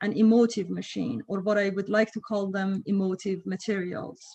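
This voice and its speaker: At a moderate pace, a woman talks in a medium-pitched, somewhat breathy voice with a dark, mellow tone. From Iran. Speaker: professor. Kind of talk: lecture. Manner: halting, many fillers.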